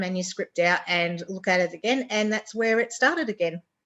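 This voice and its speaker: A woman talks with a strong Australian accent. The recording is very clean, with a silent background. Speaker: romance author. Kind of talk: interview. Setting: radio show interview.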